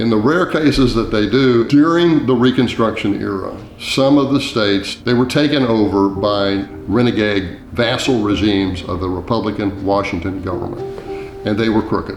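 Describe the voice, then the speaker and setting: A speaker with an American accent talks at a moderate pace with ordinary pitch variation. Noticeable background noise and audible room echo are in the recording. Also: man, fairly low pitch for a man. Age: 70s. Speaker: author. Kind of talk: documentary interview.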